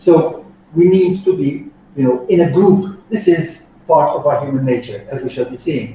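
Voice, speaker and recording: At a fairly slow pace, a man speaks at a fairly high pitch amid noticeable background noise and audible room echo. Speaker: soft skills trainer. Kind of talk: training lecture.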